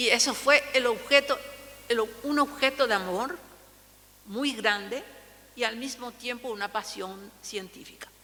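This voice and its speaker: Amid noticeable background noise, a woman with a Paraguayan accent speaks in a high pitch with ordinary pitch variation. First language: Guarani (speaking Spanish). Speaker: linguist. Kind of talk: lecture. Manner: halting.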